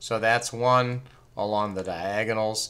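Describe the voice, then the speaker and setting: Using a plain, everyday voice, a man speaks at a fairly slow pace in a fairly low pitch with fairly even intonation. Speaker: math teacher. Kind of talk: tutorial.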